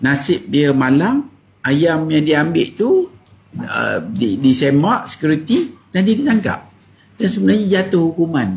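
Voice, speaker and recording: The man's pitch sits high and moves in very wide swings. He speaks at a fairly slow pace. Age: 60s. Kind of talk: talk to camera.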